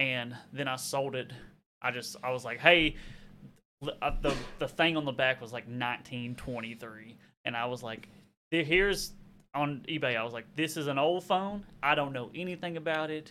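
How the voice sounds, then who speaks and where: Here a man with a slight Southern US accent talks at a fairly slow pace. His pitch sits fairly high and varies in an ordinary way. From Arkansas. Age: 30s. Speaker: YouTuber and reseller. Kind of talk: casual chat.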